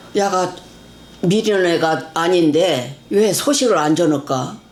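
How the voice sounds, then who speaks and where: Over noticeable background noise and audible room echo, a woman speaks at a fairly low pitch. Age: 80s+. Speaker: mother of a missing person. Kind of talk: interview. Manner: halting.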